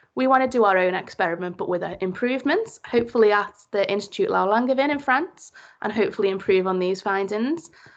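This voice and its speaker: A woman with a Liverpool accent, fairly high pitch, lively intonation, a very fast pace and hardly any pauses. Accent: Liverpool (Scouse). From Liverpool, England. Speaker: PhD student. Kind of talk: presentation.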